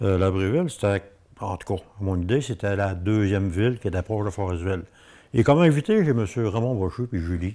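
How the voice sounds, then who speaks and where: Fairly low in pitch, a man speaks at a fairly quick pace in a dark, mellow tone with ordinary pitch variation. The recording is very clean with a silent background. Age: 70s. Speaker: local TV host. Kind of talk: interview. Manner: hesitant with many fillers.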